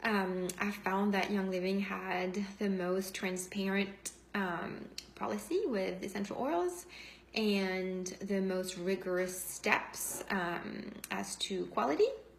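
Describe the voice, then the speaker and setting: Very slow, monotone, flat delivery with audible room echo and noticeable background noise. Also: woman, medium pitch for a woman. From France. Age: 40s. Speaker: essential oils seller and former nurse. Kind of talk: testimony. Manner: spontaneous, unscripted.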